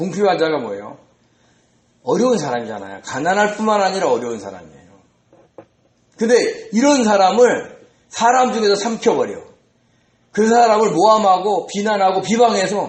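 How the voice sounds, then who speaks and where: The speech comes at a moderate pace. Room echo is audible. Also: man. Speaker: pastor. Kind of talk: sermon. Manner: conversational, rhetorical questions.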